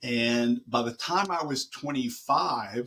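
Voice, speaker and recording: This voice belongs to a man. It is pitched in the middle range. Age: 60s. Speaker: college professor. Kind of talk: interview. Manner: halting.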